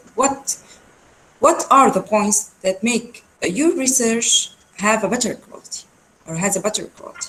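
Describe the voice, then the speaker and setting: Lively intonation with an Arabic accent, big swings in loudness, a fairly slow pace, and long, frequent pauses, over noticeable background noise. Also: woman. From Syria. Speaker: research centre executive, webinar speaker. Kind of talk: lecture. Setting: video call webinar. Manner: halting, many fillers.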